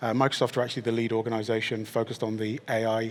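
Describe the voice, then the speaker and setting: Using a very fast pace, a man with a British accent speaks in a monotone, flat intonation. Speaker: technology executive, panellist. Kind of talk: panel discussion.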